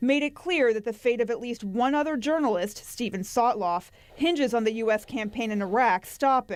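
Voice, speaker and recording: With a plain, everyday voice, a woman speaks at a moderate pace, her fairly high pitch moving in lively intonation. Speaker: television news anchor. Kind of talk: TV news anchor delivery.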